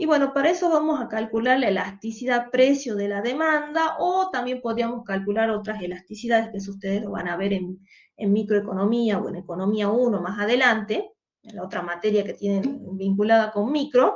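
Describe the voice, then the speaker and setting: Loud and fairly high-pitched, a woman talks at a fairly quick pace with lively intonation. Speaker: economics teacher. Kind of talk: online lecture. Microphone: saturated audio, no microphone, computer mic.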